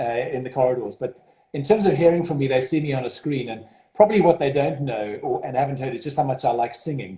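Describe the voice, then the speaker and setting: A man talks at a very fast pace in a fairly high pitch. His intonation is lively, with a slight South African accent. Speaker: school headmaster. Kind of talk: interview.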